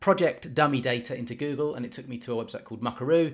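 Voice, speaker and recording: A man with a British accent talks at a very fast pace. His pitch sits in the medium range. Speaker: project management tutor, YouTuber. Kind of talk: software tutorial. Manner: casual, with frequent fillers and restarts.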